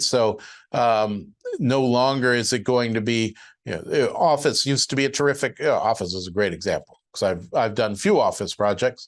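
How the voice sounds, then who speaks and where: With ordinary pitch variation and a moderate pace, an unremarkable speaking voice comes across over a quiet background. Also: man. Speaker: syndication lawyer and webinar presenter. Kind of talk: webinar presentation. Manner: casual with many filler words.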